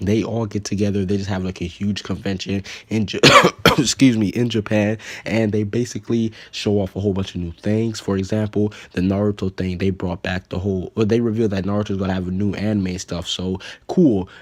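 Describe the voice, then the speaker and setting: This man's voice is pitched fairly low. There is a monotone, flat quality to his intonation. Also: fairly quick pace. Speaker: anime news youtuber. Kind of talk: casual commentary video. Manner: casual, filler-heavy.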